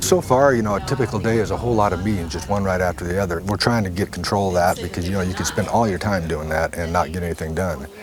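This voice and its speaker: Very deep and low, a man's voice moves at a very fast pace with ordinary pitch variation. Noticeable background noise runs underneath. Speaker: head of a federal forest agency. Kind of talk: documentary interview.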